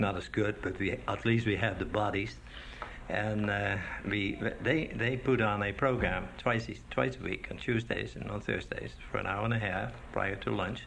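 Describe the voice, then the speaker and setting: A man with a fairly low pitch speaks with lively intonation. Noticeable background noise and audible room echo fill the recording. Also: moderate pace. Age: old. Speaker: retiree and choir director. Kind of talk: interview.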